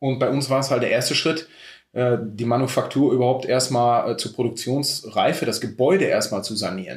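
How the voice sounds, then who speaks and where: At a moderate pace, a man speaks in a somewhat breathy voice on a very clean recording with a silent background. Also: medium pitch for a man, ordinary pitch variation. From Germany, Sauerland (Schmallenberg). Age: 30s. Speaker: mustard maker and emergency doctor. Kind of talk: interview.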